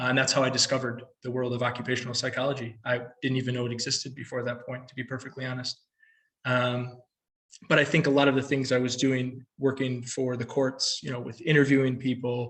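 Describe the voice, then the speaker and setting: This man talks at a very fast pace with an American accent. His intonation stays monotone and flat. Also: medium pitch for a man. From United States. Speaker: occupational psychology researcher and consultant. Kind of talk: panel talk about career path.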